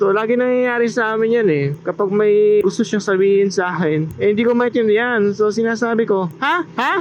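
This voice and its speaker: Shouting loudly at a moderate pace, a man with a high voice uses ordinary pitch variation over noticeable background noise. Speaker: motovlogger and delivery rider. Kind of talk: casual vlog commentary while riding. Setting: outdoors on a motorcycle. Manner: loud, near shouting.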